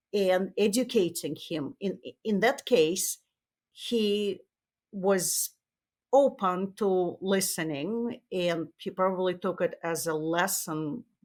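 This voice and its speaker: A woman with a Russian accent speaks very slowly at medium pitch, with ordinary pitch variation. The recording is very clean, with a silent background. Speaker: tech marketing executive and author. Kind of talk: interview. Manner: halting, with many fillers.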